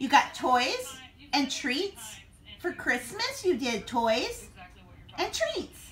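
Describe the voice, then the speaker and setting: A woman uses a raised, projected voice with very wide pitch swings. She goes at a very slow pace over light background noise. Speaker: family vlogger filming. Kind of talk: casual vlog chat. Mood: cheerful, affectionate. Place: home room. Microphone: phone near.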